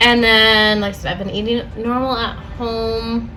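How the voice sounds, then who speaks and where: With a bright, sharp tone and a fairly high pitch, a woman talks at a very slow pace amid audible room echo. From Puerto Rican background. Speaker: vlogger. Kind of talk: casual vlog update. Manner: casual, filler-heavy.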